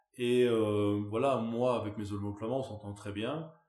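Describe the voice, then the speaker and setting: A man talks at a medium pitch. There is audible room echo. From Belgium, Wallonia. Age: 30s. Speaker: farmer. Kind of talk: interview. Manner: animated.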